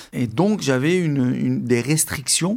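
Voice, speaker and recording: Very slow speech from a man, his pitch variation ordinary. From Algeria, Algiers area. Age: 40s. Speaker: freediving champion. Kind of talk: interview testimony. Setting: at his home. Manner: halting.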